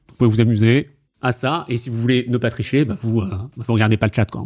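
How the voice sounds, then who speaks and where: This man's pitch sits at a medium level and varies in an ordinary way. He keeps a fairly quick pace. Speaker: quiz host and streamer. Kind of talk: casual quiz-show chat explaining rules. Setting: live stream on Discord call. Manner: loud; animated, with fillers.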